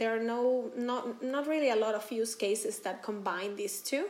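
A fairly slow delivery in a Spanish accent. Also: woman. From Venezuela. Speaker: company founder. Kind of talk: interview.

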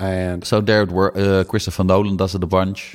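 A man talks at a fairly quick pace. His very deep, low voice stays monotone and flat. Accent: Dutch. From Netherlands. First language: Dutch. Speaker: film podcast co-host. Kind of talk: casual chat.

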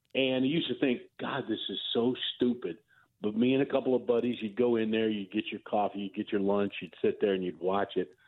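A man speaks at a fairly quick pace with a plain, everyday voice. His pitch is medium, and its variation is ordinary. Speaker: news correspondent. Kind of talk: news interview. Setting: phone call.

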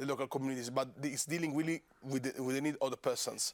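The speaker has an Italian accent and fairly even intonation. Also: man. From Italy, Rome. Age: 30s. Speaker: member of European Parliament. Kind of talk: casual interview.

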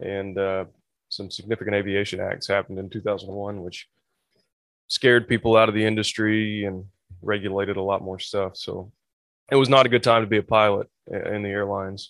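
Man in a West Tennessee accent, fairly low-pitched and monotone, at a fairly quick pace broken by long, frequent pauses. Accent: US Southern (West Tennessee). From West Tennessee (Obion County). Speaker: flight instructor. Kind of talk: casual interview.

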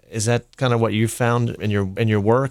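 With a dry, close sound and no echo, a man speaks at a medium pitch and moderate pace in a monotone, flat intonation. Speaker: interviewer, food and drink enthusiast. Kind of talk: casual interview. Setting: live event on campus.

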